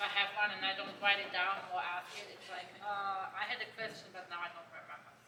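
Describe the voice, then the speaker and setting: A woman with a German accent talks fairly quickly in a flat monotone, with hardly any pauses. Her loudness swings widely, and there is noticeable background noise. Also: medium pitch for a woman. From Germany. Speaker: horse trainer. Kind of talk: panel talk.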